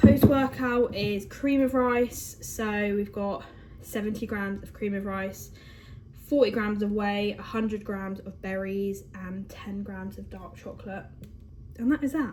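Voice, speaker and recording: A woman with an English accent talks at a medium pitch and a fairly slow pace, with ordinary pitch variation. Her loudness swings widely, and background noise is noticeable. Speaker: bodybuilder and fitness vlogger. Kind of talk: casual vlog. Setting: at home.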